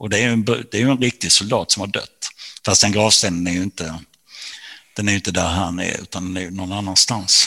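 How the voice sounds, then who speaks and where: A man's fairly low, bright and sharp voice at a moderate pace, with fairly even intonation, on a very clean recording with a silent background. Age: 60s. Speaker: author. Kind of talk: interview.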